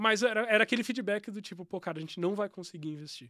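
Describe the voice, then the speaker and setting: Over a very clean recording with a silent background, a man speaks at a very fast pace. His pitch varies in an ordinary way, and the sound is dry and close with no echo. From São Paulo state, Brazil (São Bernardo do Campo). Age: 30s. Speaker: tech entrepreneur. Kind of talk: casual interview.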